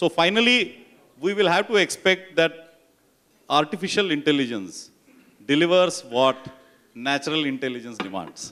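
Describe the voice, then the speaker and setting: Loud and fairly high in pitch, a man swings his pitch very widely and pauses long and often. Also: moderate pace. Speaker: panel moderator. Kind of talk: panel discussion.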